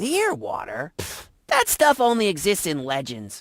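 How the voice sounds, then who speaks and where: A put-on character voice at middle pitch moves along at a moderate pace. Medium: video game. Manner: dry, deadpan.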